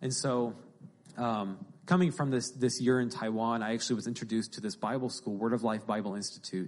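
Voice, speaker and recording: A man of medium pitch speaks at a moderate pace in an unremarkable speaking voice. His pitch varies in an ordinary way against a quiet background. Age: 20s. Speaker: young Bible school graduate speaking at church. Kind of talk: sermon-style interview.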